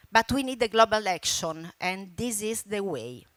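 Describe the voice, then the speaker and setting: A woman in an Italian accent with lively intonation and a bright, sharp tone, dry and close with no echo, on a very clean recording with a silent background. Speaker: environmental campaigner and broadcaster. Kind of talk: conference speech. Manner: halting.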